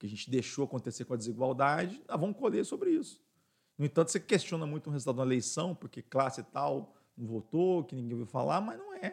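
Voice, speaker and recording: A fairly high-pitched man talks at a very fast pace with lively intonation. His loudness swings a lot. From Minas Gerais, Brazil. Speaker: business owner, radio station director. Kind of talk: casual interview.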